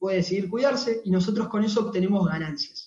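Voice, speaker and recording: A man speaks with a Rioplatense accent. His pitch is high. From Argentina, Buenos Aires (Temperley). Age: 20s. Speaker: network marketing distributor. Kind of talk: sales pitch. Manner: halting, repeated words.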